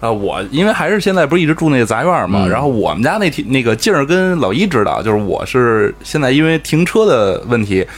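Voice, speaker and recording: This man speaks at a fairly quick pace, his pitch fairly high and swinging very widely. Noticeable background noise sits behind him. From Beijing. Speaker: podcast co-host. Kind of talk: casual chat.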